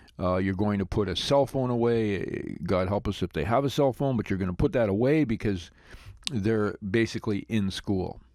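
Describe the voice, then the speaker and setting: Ordinary pitch variation and a moderate pace in a plain, everyday voice, captured on a very clean recording against a silent background. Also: man, fairly low pitch for a man. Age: 60s. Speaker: parenting podcast host. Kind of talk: advice podcast monologue.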